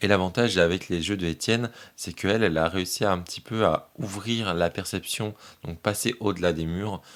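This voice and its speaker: A man talks in a very deep, low pitch. His intonation stays fairly even. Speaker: tarot reader. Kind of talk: tarot reading video. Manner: halting, many filler sounds.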